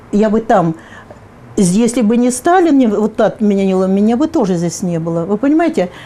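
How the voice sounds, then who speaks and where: A woman speaks at a moderate pace with lively intonation and a fairly high pitch. Noticeable background noise runs underneath. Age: 70s. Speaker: public activist. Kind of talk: interview. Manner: halting, with fillers.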